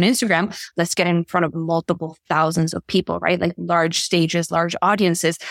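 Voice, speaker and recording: In a slight Spanish accent, the speaker moves at a fairly quick pace, the sound dry and close with no echo. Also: woman. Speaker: leadership and visibility coach. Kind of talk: casual interview chat. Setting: remote video call.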